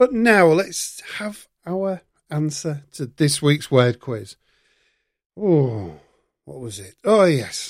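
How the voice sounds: In a very clean recording with a silent background, a man speaks slowly at a fairly high pitch with lively intonation.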